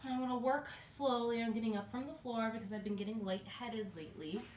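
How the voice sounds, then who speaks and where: The woman's voice sits fairly high and moves at a moderate pace. Room echo is audible, along with noticeable background noise. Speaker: fitness vlogger. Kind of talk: workout tutorial. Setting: at home. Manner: loud.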